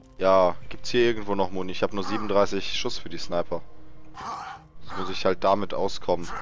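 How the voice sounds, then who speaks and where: Against noticeable background noise, a man with a fairly low pitch talks at a moderate pace, leaving long, frequent pauses. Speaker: gaming YouTuber. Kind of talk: let's play commentary. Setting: recording session with co-player online. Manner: animated.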